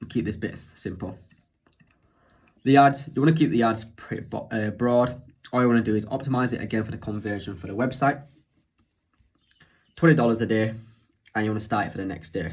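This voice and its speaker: In a British accent, a somewhat breathy man with a medium pitch speaks at a fairly quick pace with ordinary pitch variation and long, frequent pauses. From UK. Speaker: online business coach. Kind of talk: tutorial. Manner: fast.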